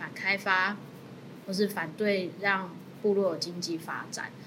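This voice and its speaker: The speech moves at a fairly slow pace. Noticeable background noise and audible room echo fill the recording. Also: woman. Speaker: lawyer. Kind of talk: panel discussion on a legal case.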